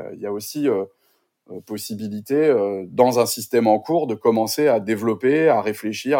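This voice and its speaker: The man's voice has a dark, mellow tone. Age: 40s. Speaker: sustainability coach. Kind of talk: interview conversation. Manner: halting, many repetitions and fillers.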